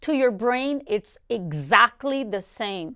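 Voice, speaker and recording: Speaking very slowly with a Portuguese accent, a woman has a high-pitched voice with a bright, sharp tone, recorded very cleanly against a silent background. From Brazil. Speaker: real estate coach. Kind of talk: motivational talk.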